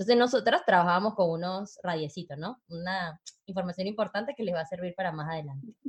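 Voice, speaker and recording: A woman with a medium-pitched, somewhat breathy voice talks at a very fast pace with ordinary pitch variation. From Venezuela. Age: 20s. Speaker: event planner and podcast co-host. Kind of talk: casual chat.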